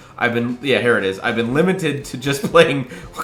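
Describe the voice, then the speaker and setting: Lively intonation at a fairly quick pace, with music playing in the background. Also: man. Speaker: gaming youtuber. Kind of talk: reaction commentary. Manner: animated.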